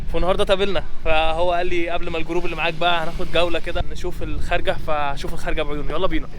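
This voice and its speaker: A man talks at a very fast pace with hardly any pauses, his high voice flat and monotone. Noticeable background noise and audible room echo fill the recording. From Egypt, Alexandria. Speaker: travel vlogger. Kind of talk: on-location casual chat.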